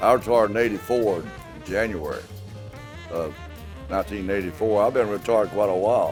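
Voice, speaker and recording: A man with a fairly low pitch and ordinary pitch variation talks at a fairly quick pace but leaves long, frequent pauses, with music in the background. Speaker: retired auto assembly plant worker. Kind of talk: interview answer.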